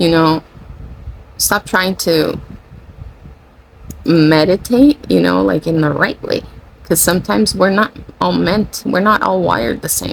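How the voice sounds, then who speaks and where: Speech unfolds at a fairly slow pace with long, frequent pauses over noticeable background noise. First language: Spanish. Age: 40. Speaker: spiritual channeler / content creator. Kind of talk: casual spiritual monologue. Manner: rambling, self-correcting.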